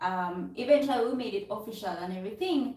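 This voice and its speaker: In audible room echo, a woman speaks at a fairly quick pace with a fairly high pitch and ordinary pitch variation. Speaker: vlogger. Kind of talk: casual chat.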